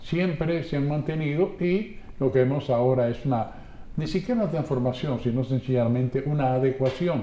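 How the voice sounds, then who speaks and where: A man with a fairly high pitch and a dark, mellow tone talks at a moderate speed, somewhat breathy, his pitch varying in an ordinary way. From Dominican Republic, San Pedro de Macorís. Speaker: radio announcer. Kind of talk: testimony.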